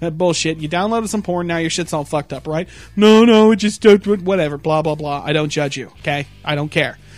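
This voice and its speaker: A high-pitched man at a fairly quick pace, with ordinary pitch variation, hardly any pauses and music in the background. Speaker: podcast host. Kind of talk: casual chat. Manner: animated.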